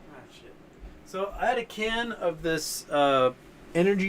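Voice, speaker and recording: This man's lively intonation carries his fairly slow speech, and he has an unremarkable speaking voice. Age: 40s. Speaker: livestream host, stock market commentator. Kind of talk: live stream chat reading viewer comments. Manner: casual, rambling.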